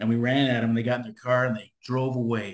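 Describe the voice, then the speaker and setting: A man talks at a fairly quick pace with an American accent. Audible room echo surrounds his voice. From California. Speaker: solar business owner. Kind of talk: interview. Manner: fast, lively.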